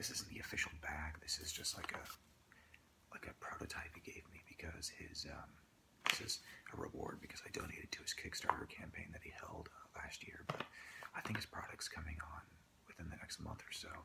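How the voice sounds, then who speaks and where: A man whispers at a fairly quick pace. Noticeable background noise can be heard. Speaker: entrepreneur. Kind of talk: ASMR soft-spoken rambling to camera. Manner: soft-spoken.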